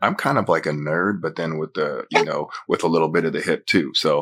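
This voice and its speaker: A man speaks at a moderate pace with hardly any pauses. The recording is very clean, with a silent background. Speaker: R&B singer. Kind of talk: interview answer.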